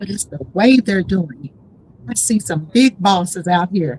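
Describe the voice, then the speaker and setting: A woman with an animated tone, lively intonation and a somewhat breathy voice. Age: 60s. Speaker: event organizer and author. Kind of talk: podcast interview.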